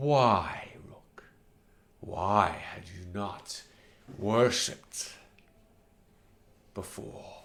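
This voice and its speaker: Whispering in a put-on character voice, a man speaks at a very slow pace with long, frequent pauses. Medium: actual play. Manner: loud whisper, solemn.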